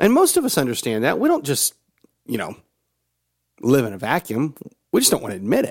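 A man speaks with a Southern US accent. He leaves long, frequent pauses. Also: fairly quick pace. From US South (Georgia, Tennessee). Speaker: motivational podcast host. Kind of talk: motivational monologue.

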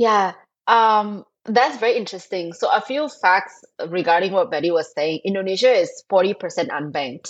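With lively intonation, a woman speaks at a moderate pace in a Thai accent. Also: medium pitch for a woman. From Thailand. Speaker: fintech co-founder. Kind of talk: interview.

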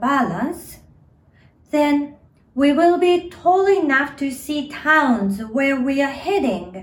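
A high-pitched woman with a Japanese accent and lively intonation. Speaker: storyteller and actor. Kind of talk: storytelling, children's story narration. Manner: dramatic, expressive storytelling with lively, playful pacing.

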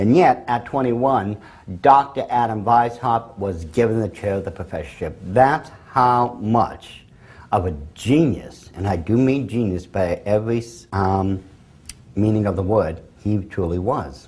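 Against a quiet background, a somewhat breathy man speaks fairly slowly with ordinary pitch variation. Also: medium pitch for a man. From England. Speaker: speaker on the occult and conspiracy. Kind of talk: lecture. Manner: hesitant with frequent fillers.

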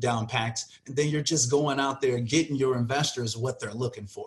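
A man speaks with an American accent at a fairly high pitch. His voice is somewhat breathy, with ordinary pitch variation. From Chicago suburbs. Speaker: real estate wholesaling coach. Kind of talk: interview.

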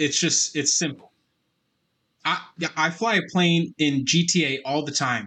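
Bright and sharp in tone, a man speaks at a fairly slow pace with a fairly high pitch. His pitch varies in an ordinary way over a quiet background. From Canada, Alberta. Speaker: podcast co-host. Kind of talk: casual chat.

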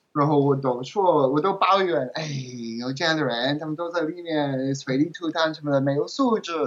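Ordinary pitch variation at a moderate speed against noticeable background noise. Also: man, fairly high pitch for a man. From England. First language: English (speaking Chinese). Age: 30s. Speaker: translator and language learner. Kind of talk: interview. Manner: halting.

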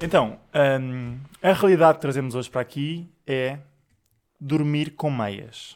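A man with a fairly high pitch and ordinary pitch variation talks at a fairly slow pace. He leaves long, frequent pauses. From Portugal, Sintra area. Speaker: podcast co-host. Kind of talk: casual chat.

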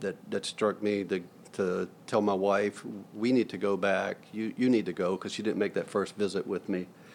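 A man's fairly low, monotone voice with a Southern US accent, flat in intonation, at a moderate pace. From US South (Florida/Georgia). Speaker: hospital chief financial officer. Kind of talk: interview.

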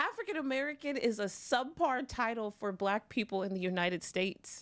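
The delivery moves at a moderate pace in a normal speaking voice with lively intonation. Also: woman. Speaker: guest. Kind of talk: casual chat.

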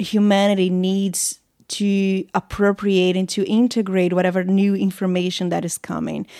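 A woman's dark, mellow voice at a moderate pace, in a very clean recording with a silent background. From Brazil. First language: Portuguese. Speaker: women's workshop facilitator. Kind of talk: casual interview conversation. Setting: in person, recording at host's home.

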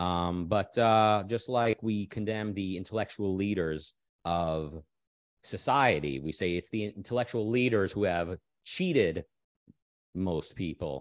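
A man with a fairly low voice at a fairly slow pace, ordinary pitch variation, and a quiet background. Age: 30s. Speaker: political philosophy livestream host. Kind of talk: livestream chat with audience. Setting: live stream with chat. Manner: hesitant, many fillers.

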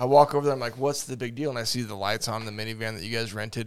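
Ordinary pitch variation from a man at a medium pitch, in a very clean recording with a silent background. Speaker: podcast host. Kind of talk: casual chat. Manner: casual, joking.

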